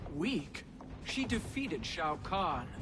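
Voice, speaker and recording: Over loud background noise, someone uses a put-on character voice at a middle pitch. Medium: video game.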